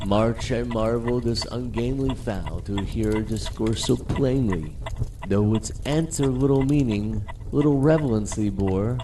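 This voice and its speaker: A man with a medium pitch and ordinary pitch variation talks fairly slowly while noticeable background noise plays behind him. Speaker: narrator. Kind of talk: poetry reading.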